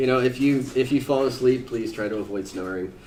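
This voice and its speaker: A man talks with ordinary pitch variation. Audible echo from the room surrounds his voice. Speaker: software engineer presenting a conference talk. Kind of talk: conference presentation. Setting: conference room with live audience. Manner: loud.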